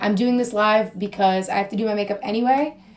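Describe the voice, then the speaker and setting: Fairly high in pitch with ordinary variation, a woman speaks at a moderate pace against noticeable background noise. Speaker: social media influencer. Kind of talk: casual livestream chat. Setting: Instagram live video at home. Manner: rambling, chatty.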